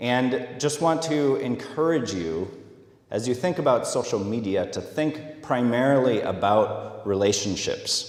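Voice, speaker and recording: There is noticeable background noise and audible room echo. Over it, a man with an American accent talks fairly slowly with lively intonation. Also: medium pitch for a man. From US Midwest, Minnesota. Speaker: social media specialist giving a talk. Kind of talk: conference talk. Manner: hesitant, many fillers.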